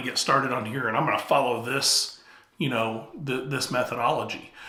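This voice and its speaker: Male speech with clear background noise and some audible echo from the room. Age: 50s. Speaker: YouTube coach. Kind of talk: talking-head tutorial.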